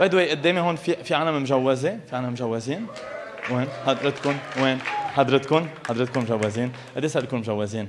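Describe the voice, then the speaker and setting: A man speaks at a moderate pace in a Lebanese accent. Crowd noise fills the background. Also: medium pitch for a man, ordinary pitch variation. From Lebanon. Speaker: stand-up comedian. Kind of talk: live stand-up comedy.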